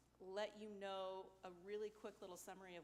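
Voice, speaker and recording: A woman's medium-pitched voice against noticeable background noise. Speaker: library director and community developer. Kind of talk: public meeting presentation. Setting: school board meeting room. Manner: loud.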